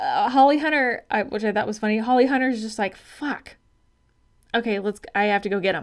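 With an American accent and a plain, everyday voice, the speaker talks at a fairly quick pace with ordinary pitch variation on a very clean recording with a silent background. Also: woman, fairly high pitch for a woman. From Arizona. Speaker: podcast co-host, health coach. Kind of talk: casual chat.

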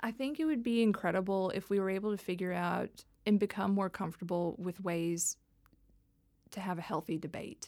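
Speaking with an American accent at a fairly quick pace, a woman uses a medium pitch with ordinary pitch variation on a very clean recording with a silent background. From Texas (Dallas). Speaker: tech policy executive. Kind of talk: interview.

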